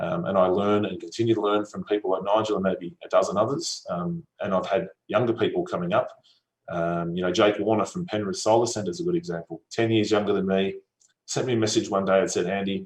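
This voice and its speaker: A man with an Australian accent, fairly low-pitched, very fast, with lively intonation. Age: 30s. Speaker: solar company executive. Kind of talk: conference talk. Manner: casual, with frequent fillers.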